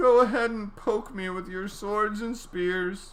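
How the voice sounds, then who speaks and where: A put-on character voice with a fairly high pitch. The pace is fairly slow. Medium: read story.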